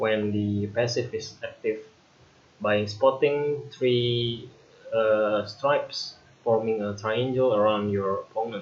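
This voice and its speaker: A man with an Indonesian accent speaks at a very slow pace, medium in pitch and fairly even in intonation, with noticeable background noise. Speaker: gaming youtuber. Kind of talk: tutorial. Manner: hesitant with fillers.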